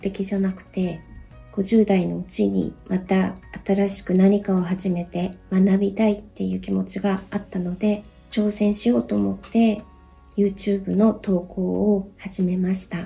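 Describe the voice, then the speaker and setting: Music plays in the background. The speech is flat and monotone at a fairly slow pace. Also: woman. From Japan, Saitama. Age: 50s. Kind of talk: personal vlog talk to camera.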